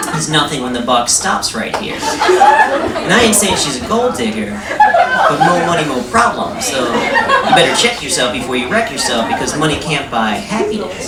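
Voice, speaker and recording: A man's pitch swings very widely as he talks. Crowd noise fills the background. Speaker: comedian. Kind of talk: comic spoken word performance. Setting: live theatre stage.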